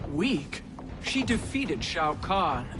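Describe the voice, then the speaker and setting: Someone does a put-on character voice at a middle pitch. Loud background noise runs underneath. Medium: video game.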